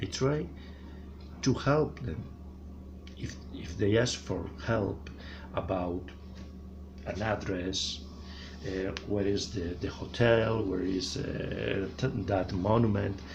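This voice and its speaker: A man speaks very slowly in a very deep, low voice with vocal fry and a strong Spanish accent, leaving long, frequent pauses. His intonation is lively, and the room echo is audible. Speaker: vlogger. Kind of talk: opinion monologue. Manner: halting.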